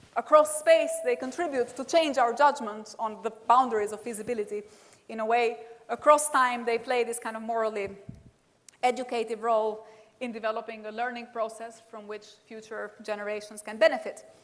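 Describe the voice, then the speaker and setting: A woman with an Albanian accent speaks at a fairly quick pace in a fairly high pitch. Her pitch varies in an ordinary way while her loudness swings widely. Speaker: professor. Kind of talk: lecture.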